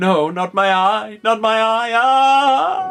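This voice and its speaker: A man uses a put-on character voice at a high pitch and a very slow pace, with faint music in the background. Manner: mocking, crying out in mock pain.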